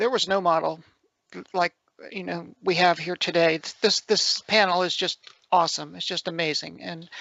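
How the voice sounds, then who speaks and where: Speaking at a moderate pace, a woman with a fairly low pitch and vocal fry keeps her intonation fairly even and leaves long, frequent pauses. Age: 60s. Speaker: retired professor, panelist. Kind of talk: panel discussion.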